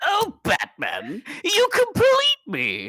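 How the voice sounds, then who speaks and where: In a put-on character voice, the speaker goes extremely high in pitch. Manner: theatrical, mocking, romantic.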